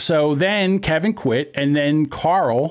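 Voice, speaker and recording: This is a man speaking with a Philadelphia accent. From Philadelphia area, US. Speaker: podcast host. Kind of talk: casual banter podcast. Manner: joking, animated, profane.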